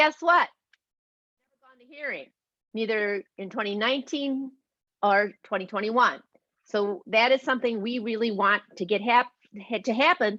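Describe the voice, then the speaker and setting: A woman speaks at a fairly high pitch in a bright, sharp tone, with long, frequent pauses and a dry, close sound with no echo. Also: ordinary pitch variation. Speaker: volunteer advocate. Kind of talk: presentation. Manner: fast.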